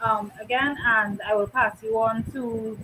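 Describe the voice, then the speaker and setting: A woman's fairly high voice with a strong Trinidadian accent and ordinary pitch variation. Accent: thick Trinidadian. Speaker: co-host of talk show. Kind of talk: casual online talk show.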